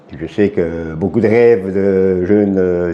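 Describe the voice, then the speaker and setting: A man talks with a fairly low pitch. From Switzerland, Jura. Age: 60s. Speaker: retired border guard. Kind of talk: interview.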